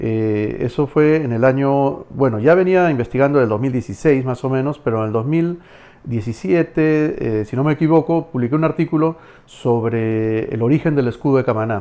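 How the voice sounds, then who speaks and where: A man speaks at a moderate pace in a medium pitch, with ordinary pitch variation and a dark, mellow tone. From Camaná, Arequipa, Peru. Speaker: historian, dentist and writer. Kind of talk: podcast interview answer.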